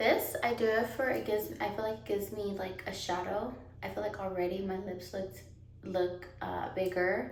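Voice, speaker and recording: With noticeable background noise and audible room echo, a woman talks at a moderate pace and medium pitch with ordinary pitch variation. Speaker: beauty vlogger. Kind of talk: makeup tutorial. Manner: lowered voice after baby wakes; casual, filler-heavy.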